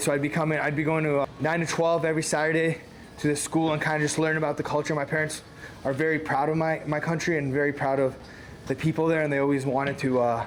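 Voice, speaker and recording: A man talks at a very fast pace with a fairly high pitch and monotone, flat intonation. Noticeable background noise is present. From Canada, Toronto area. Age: 20s. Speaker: professional MMA fighter. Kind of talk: casual interview during a workout.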